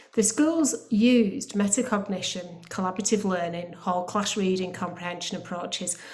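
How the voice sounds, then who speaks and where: Speech at a moderate pace with ordinary pitch variation comes through audible room echo and noticeable background noise. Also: woman. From northern England, Bolton. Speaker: academy trust chief executive. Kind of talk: panel presentation. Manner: hesitant, with frequent fillers.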